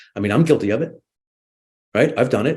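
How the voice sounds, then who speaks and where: His voice is somewhat breathy. The man's pitch swings very widely. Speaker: media literacy panelist. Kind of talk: panel discussion. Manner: fast; animated.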